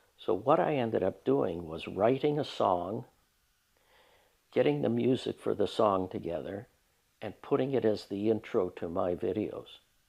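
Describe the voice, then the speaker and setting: A man with a Canadian accent, fairly low-pitched and with vocal fry, lively intonation, a moderate pace and a quiet background. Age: 70s. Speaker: retired social worker and woodturner. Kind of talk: documentary interview. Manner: halting.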